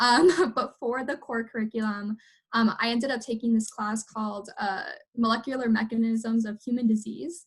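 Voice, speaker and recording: Fairly even intonation in a somewhat breathy voice at a moderate pace. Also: woman. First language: Spanish. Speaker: university alumna panelist. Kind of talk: panel discussion.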